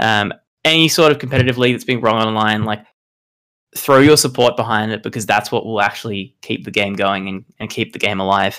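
Speaking at a fairly quick pace with an Australian accent, a man has a bright, sharp tone and ordinary pitch variation. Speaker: competitive card game player. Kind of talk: podcast interview. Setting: remote call.

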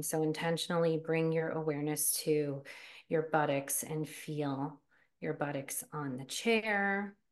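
Her pitch very deep and low, a woman speaks fairly slowly with fairly even intonation. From US, New Jersey. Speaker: nurse and life coach. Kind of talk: guided meditation; interview. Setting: podcast recording.

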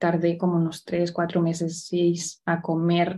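Here a woman speaks in a dark, mellow tone at a fairly low pitch. Her pace is fairly slow. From Spain, Barcelona. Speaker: entrepreneur, women's business network founder. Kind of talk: interview.

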